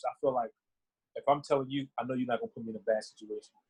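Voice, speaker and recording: A man at a very fast pace, somewhat breathy and fairly high-pitched, in a dry, close sound with no echo. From North Carolina, born in Philadelphia. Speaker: basketball player. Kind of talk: interview.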